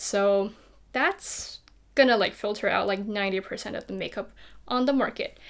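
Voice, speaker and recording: Someone with a non-native accent speaks at a moderate pace with fairly even intonation, on a very clean recording with a silent background. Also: woman. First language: not English. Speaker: beauty youtuber. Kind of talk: makeup tutorial chat. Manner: casual.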